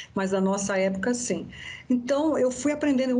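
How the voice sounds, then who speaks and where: A woman talks at a moderate pace in a plain, everyday voice. Her pitch sits fairly high and shows ordinary variation. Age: 60s. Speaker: therapist and biodanza facilitator. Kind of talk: interview.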